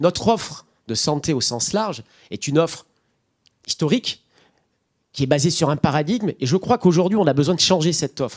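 A man talks at a fairly quick pace with very wide pitch swings and vocal fry over a quiet background. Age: 40s. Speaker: nonprofit director; speaker. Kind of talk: panel discussion. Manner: halting. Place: hall. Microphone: handheld.

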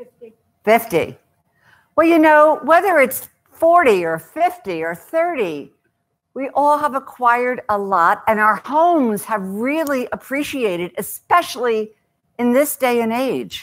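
The voice swings very widely in pitch and goes at a very slow pace. The background is quiet. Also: woman, high pitch for a woman. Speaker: author and speaker on downsizing. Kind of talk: talk to a live audience. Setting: stage with audience. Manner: loud; humorous storyteller. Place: hall.

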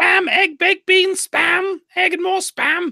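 A female-sounding voice does a put-on character at an extremely high pitch, speaking at a fairly slow pace. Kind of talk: comic.

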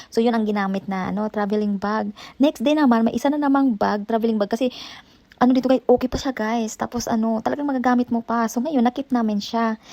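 A woman with a fairly high pitch speaks at a very fast pace and with fairly even intonation, in a dry, close sound that has no echo. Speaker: vlogger. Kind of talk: casual vlog. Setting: at home.

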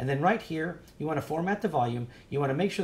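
A man rattles off his words very quickly in a somewhat breathy voice. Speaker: drone hobby tutorial youtuber. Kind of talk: screen-share tutorial. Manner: fast talker; casual, filler-heavy. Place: shop. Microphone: webcam.

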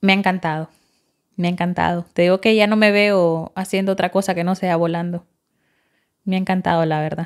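A woman talks fairly quickly yet with long, frequent pauses, her intonation monotone and flat over a quiet background. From Honduras, El Progreso (Yoro); Honduras. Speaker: flight attendant trainee, former factory worker; former factory worker. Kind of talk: casual interview. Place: studio. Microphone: studio mic.

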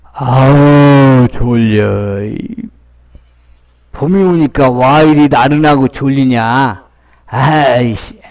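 At a very slow pace, a man performs a put-on character voice at medium pitch. Long, frequent pauses break up his speech. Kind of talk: comedic voice-over dub. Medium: dub.

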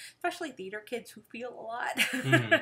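A woman's raised, projected voice, high-pitched with a bright, sharp tone, very wide pitch swings, a moderate pace and an American accent, over a quiet background. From Texas. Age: 40s. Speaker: livestream co-host, theater teacher. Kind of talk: casual chat. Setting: home livestream. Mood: serious, earnest. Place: home room. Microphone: webcam.

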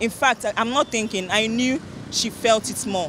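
With a fairly bright tone, a woman speaks at a moderate pace and medium pitch, showing ordinary pitch variation.

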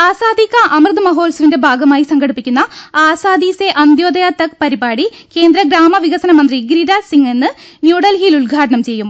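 With an extremely high pitch and lively intonation, a woman speaks over a quiet background. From Kerala. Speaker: radio newsreader. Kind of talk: news reading. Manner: formal. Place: studio.

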